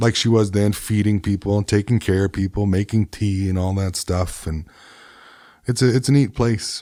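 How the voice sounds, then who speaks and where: Dark, mellow male voice, fairly low in pitch, with fairly even intonation, in a dry, close sound with no echo and a very clean recording on a silent background. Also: moderate pace. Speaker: singer-songwriter, podcast host. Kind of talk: casual interview chat. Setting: studio.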